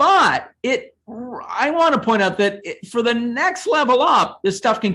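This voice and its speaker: A man with an American accent at a moderate pace against a quiet background. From United States. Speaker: seminar host and academic. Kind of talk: academic seminar discussion.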